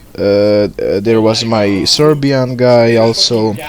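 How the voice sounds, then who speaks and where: Background noise is noticeable as a man talks in a fairly even intonation. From Bosnia. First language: Bosnian. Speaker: gaming YouTuber. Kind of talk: video intro monologue. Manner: halting, many fillers.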